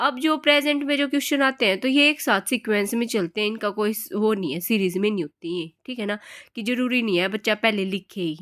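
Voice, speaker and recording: Her intonation is lively and her pace moderate, in a normal speaking voice. The woman is heard in a very clean recording with a silent background. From Haryana, India. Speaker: teacher. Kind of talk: lecture. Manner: casual, conversational.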